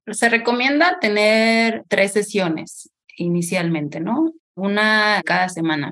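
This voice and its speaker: A woman's bright, sharp, medium-pitched voice, very slow, with lively intonation. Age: 30s. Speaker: holistic therapist. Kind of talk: interview conversation. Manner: halting.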